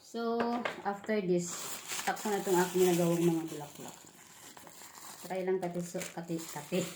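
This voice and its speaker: Noticeable background noise and audible room echo sit behind a woman with a fairly low pitch and fairly even intonation. Her moderate pace has long, frequent pauses. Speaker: vlogger. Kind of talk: unboxing vlog. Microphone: no microphone used.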